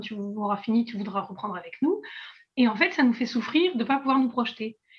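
This woman speaks at a fairly quick pace. Her fairly high pitch shows ordinary variation. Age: 20s. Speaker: artist and illustrator with chronic illness. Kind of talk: casual interview. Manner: hesitant, many fillers.

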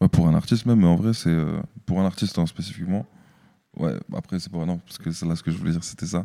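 Very clean and set against a silent background, the recording features a man with a very deep, low pitch, a dark, mellow tone and ordinary pitch variation, talking at a very fast pace. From Strasbourg, Alsace. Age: 20s. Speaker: music marketer and artist manager. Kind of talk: panel discussion. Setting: stage with audience.

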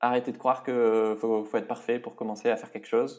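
A man at a moderate pace. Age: 30s. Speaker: podcaster and YouTuber, author. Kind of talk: interview conversation.

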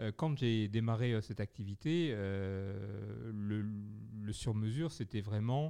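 A man talks at a very slow pace, his pitch fairly low. His tone is dark and mellow, and the background is quiet. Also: ordinary pitch variation. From southwest France, Bergerac. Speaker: bespoke shirt company founder. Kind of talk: interview. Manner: hesitant, repeats words.

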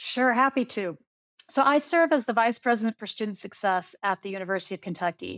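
An unremarkable speaking voice with an American accent moves at a fairly quick pace with lively intonation. The very clean recording has a silent background and a dry, close sound with no echo. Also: woman, fairly high pitch for a woman. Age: 40s. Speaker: university administrator. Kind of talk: interview.

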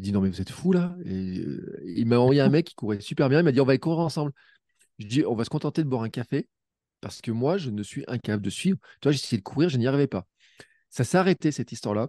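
Against a quiet background, a man talks very fast at a medium pitch with a dark, mellow tone and very wide pitch swings, the sound dry and close with no echo. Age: 40s. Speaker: podcaster and amateur runner. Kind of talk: casual chat.

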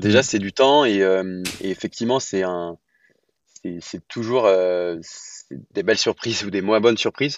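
A man's fairly low voice, very slow in pace, with ordinary pitch variation. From France, Lyon. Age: 30s. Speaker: real estate entrepreneur. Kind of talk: podcast interview. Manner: hesitant, many fillers.

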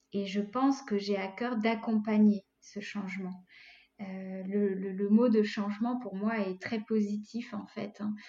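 The voice has a dark, mellow tone, somewhat breathy, delivered at a very slow pace in a monotone, flat intonation. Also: woman. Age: 40s. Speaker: life coach. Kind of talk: interview.

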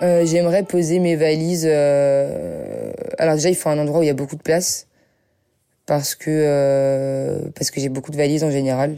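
A woman talks at a moderate pace in a very deep, low pitch. Her intonation is monotone and flat. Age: young. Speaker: singer-songwriter. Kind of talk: interview.

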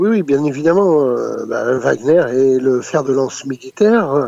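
Over a dry, close sound with no echo, a man with an unremarkable speaking voice talks at a fairly slow pace in a fairly high pitch with ordinary pitch variation. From France. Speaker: former intelligence operative and author. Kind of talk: interview. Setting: phone call.

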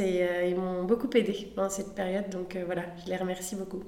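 A woman's medium-pitched voice carries audible echo from the room. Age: 30s. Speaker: podcast guest. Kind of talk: casual interview chat. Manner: hesitant with many fillers.

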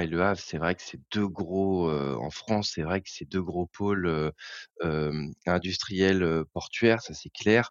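Very deep, low male speech with fairly even intonation. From Normandy, Eure. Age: young. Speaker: bank employee. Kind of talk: interview. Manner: halting.

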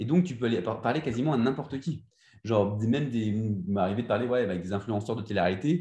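At a very fast pace and medium pitch, a somewhat breathy man with a dark, mellow tone speaks with lively intonation over a quiet background. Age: 20s. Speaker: Instagram entrepreneur. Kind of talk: interview. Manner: halting.

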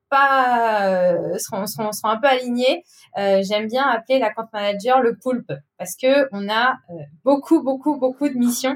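A woman with an ordinary speaking voice talks at a fairly slow pace, her fairly high pitch showing ordinary variation. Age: 30s. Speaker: account manager. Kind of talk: casual interview.

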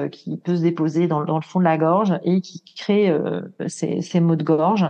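Talking at a fairly slow pace, a woman uses a fairly low pitch and fairly even intonation. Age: 40s. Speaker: ayurveda consultant. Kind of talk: interview. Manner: hesitant, many fillers.

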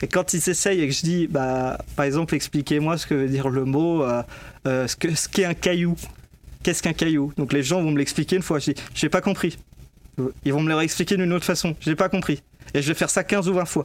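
The speaker talks at a fairly quick pace. The intonation stays fairly even. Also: man, fairly high pitch for a man. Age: 20s. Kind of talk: interview. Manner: hesitant, many fillers and repetitions.

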